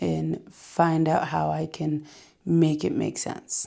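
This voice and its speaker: Speaking at a very slow pace, a woman with an American accent has a very deep, low pitch, a dark, mellow tone and ordinary pitch variation. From New York. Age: 20s. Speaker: vlogger sharing cancer journey. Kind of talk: casual vlog monologue. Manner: hesitant, many ums.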